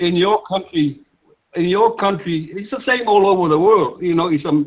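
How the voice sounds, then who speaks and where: A high-pitched man with a Samoan accent, at a moderate pace and with ordinary pitch variation. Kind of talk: casual group discussion. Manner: halting, repeats words.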